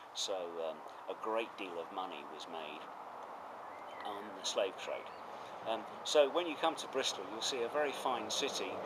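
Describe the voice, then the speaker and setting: A man with a southern English accent speaks at a moderate pace, with big swings in loudness and long, frequent pauses. Noticeable background noise and audible room echo fill the recording. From southeast England, Essex. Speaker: retired professor. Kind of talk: interview. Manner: hesitant with fillers.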